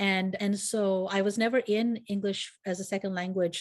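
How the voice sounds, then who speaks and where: A woman's voice at medium pitch, with fairly even intonation. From United States. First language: Gujarati. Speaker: nonprofit consultant and coach. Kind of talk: podcast interview. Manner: conversational with frequent fillers and restarts.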